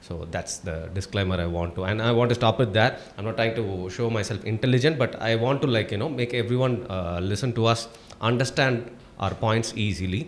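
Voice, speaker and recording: Someone with a Tamil accent talks at a fairly quick pace with ordinary pitch variation. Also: man. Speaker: YouTube commentator. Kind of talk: casual chat.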